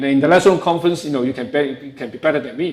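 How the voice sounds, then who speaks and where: A man speaks with a strong Hong Kong accent. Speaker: professor. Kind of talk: lecture.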